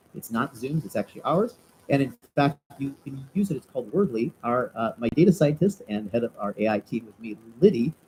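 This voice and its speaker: This man has a fairly high pitch and a dark, mellow tone, speaking somewhat breathily at a fairly quick pace with lively intonation and big swings in loudness, in a dry, close sound with no echo. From US Midwest (Chicago). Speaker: entrepreneur and webinar presenter. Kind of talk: live webinar presentation. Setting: live video webinar. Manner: fast; animated.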